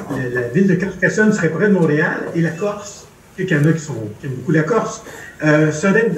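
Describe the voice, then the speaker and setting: A high-pitched man talks fairly quickly with lively intonation, his voice carrying audible room echo amid noticeable background noise. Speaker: anesthesiologist and medical historian. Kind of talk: lecture. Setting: video conference.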